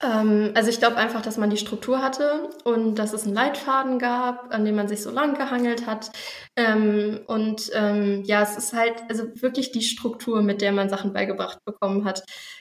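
The speech moves at a moderate pace with fairly even intonation. Noticeable background noise sits behind it. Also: woman, fairly high pitch for a woman. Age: 20s. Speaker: junior doctor, course participant. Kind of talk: interview. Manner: hesitant, many filler sounds.

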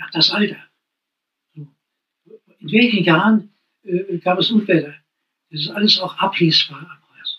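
A man with a high pitch projects a raised voice with a bright, sharp tone and ordinary pitch variation. His loudness swings widely, and long pauses come often. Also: fairly slow pace. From Thuringia, Thuringian Forest (Steinheid). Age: 80s. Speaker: poet and retired music teacher. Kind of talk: interview. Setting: at the guest's home.

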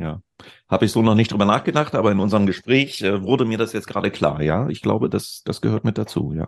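Against a quiet background, a man talks very fast with lively intonation, a fairly low pitch and vocal fry. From Lower Saxony, northern Germany (Celle). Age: 50s. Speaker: digital consultant, former radio host. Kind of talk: casual chat.

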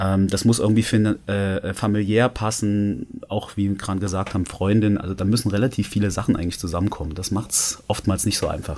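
He has an unremarkable speaking voice, fairly low in pitch, moving at a fairly quick pace. His intonation is fairly even, with hardly any pauses. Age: 30s. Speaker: male stripper. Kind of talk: casual chat.

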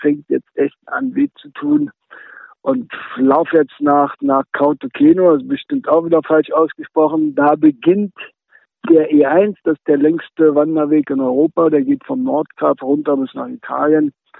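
A man with a plain, everyday voice speaks at a fairly high pitch and a fairly slow pace. His intonation is lively, with big swings in loudness. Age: 50s. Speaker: long-distance hiker with brain tumor. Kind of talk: remote interview.

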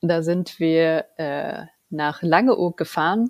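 Close and dry with no echo, the recording captures a woman talking. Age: 40s. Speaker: project manager and scrum master. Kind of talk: casual interview.

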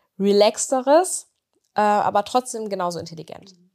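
Recorded very cleanly with a silent background, a woman speaks at a moderate pace with ordinary pitch variation. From East Westphalia, Germany (Bünde). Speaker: pet influencer. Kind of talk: casual interview. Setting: studio.

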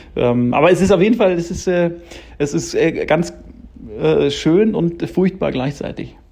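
A man speaks in a dark, mellow tone pitched high for a man, with ordinary pitch variation. His pace is moderate, broken by long, frequent pauses. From Munich, Bavaria. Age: 30s. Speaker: screenwriter and director. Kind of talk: interview. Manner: halting, many fillers.

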